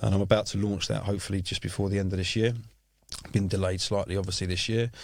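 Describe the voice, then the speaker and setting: A man speaks at a very fast pace with a fairly low pitch. His intonation is monotone and flat. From South East London, England. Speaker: music industry executive. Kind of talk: podcast interview. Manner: hesitant, many fillers.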